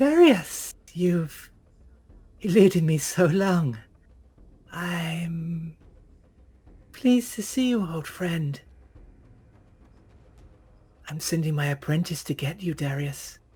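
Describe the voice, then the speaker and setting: Doing a put-on character voice, a man talks with a high pitch at a very slow pace, leaving long, frequent pauses. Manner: menacing, smug.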